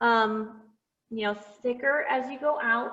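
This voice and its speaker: A woman speaks at a fairly high pitch. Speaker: painting teacher. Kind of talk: tutorial. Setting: video call. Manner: loud. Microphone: far from the device, may be hard to hear.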